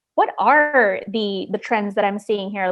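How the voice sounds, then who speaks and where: Here a woman speaks with a Chicago accent at a fairly slow pace. Her pitch is fairly high, with ordinary variation. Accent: Chicago American English. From Chicago, northwest side (US Midwest). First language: Spanish. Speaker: journalist and podcast host. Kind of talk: interview conversation.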